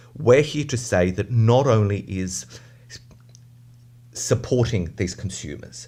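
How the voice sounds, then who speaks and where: Dark and mellow in tone, this voice with an Australian accent has vocal fry and lively intonation. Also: man. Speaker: advocacy group representative. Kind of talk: radio interview.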